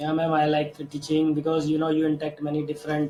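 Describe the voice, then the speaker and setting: Over noticeable background noise, a man talks in a fairly high pitch with monotone, flat intonation. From India. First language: Hindi. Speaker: English learner. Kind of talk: casual chat. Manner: halting.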